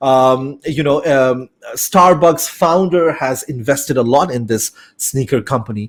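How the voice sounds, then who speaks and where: Speaking at a fairly slow pace, a man talks with a Bengali accent. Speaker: business studies teacher. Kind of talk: lecture. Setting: online live class. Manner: hesitant, many fillers.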